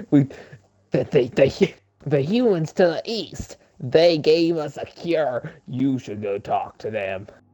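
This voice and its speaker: A man drawls in a put-on character voice, fairly high in pitch, at a fairly slow pace. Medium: read story. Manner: folksy, drawling.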